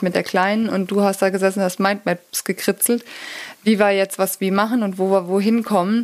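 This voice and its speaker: The delivery keeps a moderate pace. Its intonation is monotone and flat. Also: woman. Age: 40s. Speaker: physiotherapist and pain therapist, YouTuber. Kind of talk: casual interview chat.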